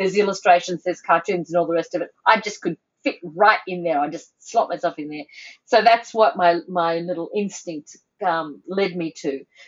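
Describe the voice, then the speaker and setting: A woman with an Australian accent speaks at a moderate pace and a fairly low pitch, with ordinary pitch variation. Her loudness swings widely. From Sydney, Australia (North Shore). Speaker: editorial cartoonist. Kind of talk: casual chat.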